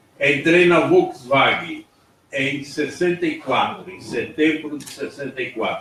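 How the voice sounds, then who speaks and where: This man talks at a very slow pace. His loudness swings widely. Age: 70s. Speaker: former factory worker and torture survivor. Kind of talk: personal testimony at panel.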